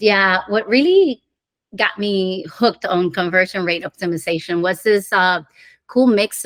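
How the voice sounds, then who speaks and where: With a Spanish accent, a woman speaks at medium pitch and a moderate pace, with ordinary pitch variation and a dry, close sound with no echo. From Dominican Republic. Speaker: conversion optimization director. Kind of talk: podcast interview. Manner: halting.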